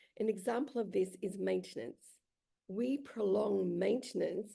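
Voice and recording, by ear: A woman's hoarse, put-on character voice at medium pitch and a moderate pace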